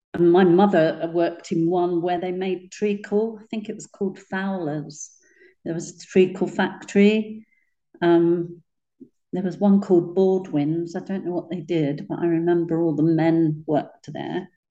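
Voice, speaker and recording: A woman speaks at a fairly low pitch with a dark, mellow tone. Her intonation stays fairly even. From East London. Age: 70s. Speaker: interviewee recalling childhood. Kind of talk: oral history interview, reminiscing.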